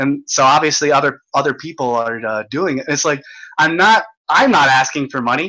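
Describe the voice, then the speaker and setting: Bright, sharp tone at a moderate pace with ordinary pitch variation. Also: man, fairly high pitch for a man. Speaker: livestream host. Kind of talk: casual chat. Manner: halting, stumbling.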